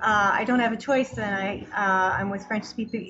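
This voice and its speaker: A woman speaks in a Canadian accent at a moderate pace, her pitch fairly high. Her intonation stays fairly even, with music in the background. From Canada, Toronto. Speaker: food tour business owner. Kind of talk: interview. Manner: hesitant, many fillers.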